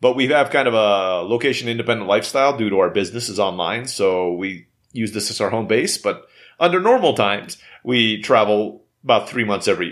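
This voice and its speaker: A plain, everyday voice from a man with an American accent, medium in pitch with ordinary pitch variation, at a fairly quick pace on a very clean recording with a silent background. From Istanbul, Turkey (raised abroad, Filipino-American). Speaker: entrepreneur. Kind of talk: interview.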